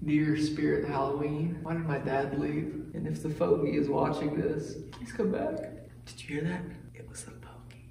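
A man talks at a moderate pace. Audible room echo and noticeable background noise surround his voice. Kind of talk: casual vlog chat. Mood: joking, mock spooky. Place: classroom. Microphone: phone near.

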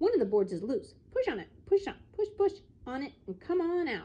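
In a put-on character voice, a woman speaks at a moderate pace with an extremely high pitch that swings very widely. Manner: fast-talking.

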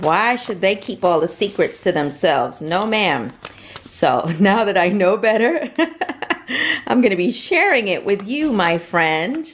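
Speaking at a fairly slow pace, the voice comes through over light background noise. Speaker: family vlogger. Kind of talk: casual cooking tutorial. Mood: playful, upbeat. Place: kitchen. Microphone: phone near.

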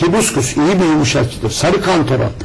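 A man at a moderate pace with lively intonation, over light background noise. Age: 50s. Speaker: alternative health author; guest. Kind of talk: TV interview. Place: studio. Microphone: lapel.

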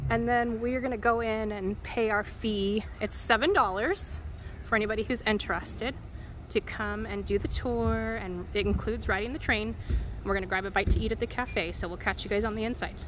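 A woman speaks at a moderate pace. The sound is dry with no echo, though noticeable background noise is present. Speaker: vlogger filming. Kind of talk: casual vlog chat. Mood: excited, upbeat. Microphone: phone near.

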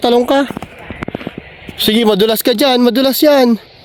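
An extremely high-pitched man amid noticeable background noise. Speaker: travel vlogger. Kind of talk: casual vlog chat. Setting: outdoors in snow.

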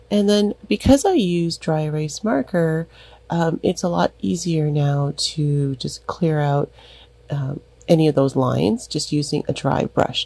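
Lively intonation marks this fairly slow delivery. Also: woman, very deep, low pitch for a woman. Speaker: craft tutorial creator. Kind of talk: tutorial. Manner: casual, filler-heavy.

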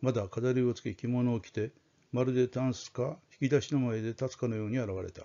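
A man speaks at a fairly quick pace with fairly even intonation. It is an ordinary speaking voice at a medium pitch. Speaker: audiobook-style storyteller reading aloud. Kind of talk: dramatic narration of a ghost story, read aloud. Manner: formal, polite, measured.

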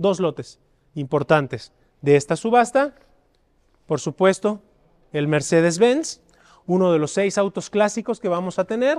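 A man with a Mexican accent and a high pitch speaks at a fairly slow pace in an animated, enthusiastic tone with lively intonation and long, frequent pauses against a quiet background. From Mexico. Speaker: auction house presenter. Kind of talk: promotional walkthrough of an auction preview, presenting lots. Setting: auction house exhibition hall. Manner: animated, enthusiastic sales-pitch delivery. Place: hall. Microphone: lapel.

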